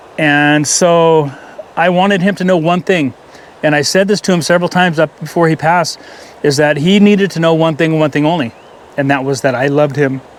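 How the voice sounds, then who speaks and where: A man speaks at a fairly high pitch and a fairly quick pace, with fairly even intonation and very even loudness. Noticeable background noise sits behind him. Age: 60s. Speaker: fishing vlogger. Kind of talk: casual monologue vlog. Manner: halting.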